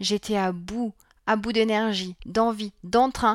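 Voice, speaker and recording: An ordinary speaking voice from a woman, fairly high in pitch and fairly slow, on a very clean recording with a silent background and a dry, close sound with no echo. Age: 40s. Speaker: parenting coach and podcast host. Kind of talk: solo podcast monologue.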